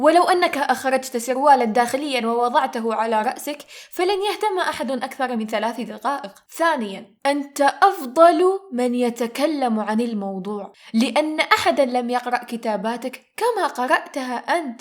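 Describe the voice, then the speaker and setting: A woman speaks in a high pitch at a fairly slow pace. There is noticeable background noise. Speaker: aspiring voice-over artist. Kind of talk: humorous story narration. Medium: read story.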